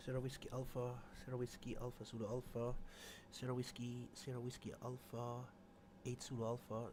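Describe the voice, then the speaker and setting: Over noticeable background noise, a man speaks with flat, monotone intonation. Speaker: flight sim livestreamer. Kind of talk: livestream commentary while flight planning. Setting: live stream with chat. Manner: loud; halting, many fillers.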